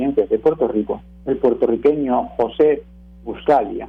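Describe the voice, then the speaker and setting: A man with a Spanish accent, fairly high in pitch, at a moderate pace with ordinary pitch variation. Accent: Spanish (peninsular). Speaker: radio commentator, teacher. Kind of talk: prepared radio talk.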